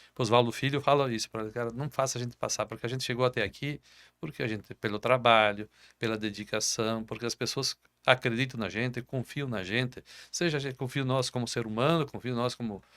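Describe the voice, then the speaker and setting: A man at a very fast pace, fairly even in intonation, dry and close with no echo, on a very clean recording with a silent background. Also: medium pitch for a man. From southern Brazil. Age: 60s. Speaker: business owner. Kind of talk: interview. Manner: halting, repeats words.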